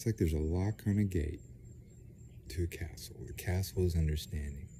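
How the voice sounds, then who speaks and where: A soft-spoken man with a very deep, low pitch and a dark, mellow, somewhat breathy tone talks at a fairly quick pace with ordinary pitch variation. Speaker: vlogger. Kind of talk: casual monologue. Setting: outdoors. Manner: soft-spoken, speaking low; halting, many fillers.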